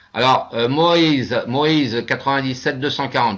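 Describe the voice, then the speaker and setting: Talking in a fairly high pitch, a man speaks. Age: 60s. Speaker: investment scheme presenter. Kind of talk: webinar presentation with Q&A. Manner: hesitant, many fillers.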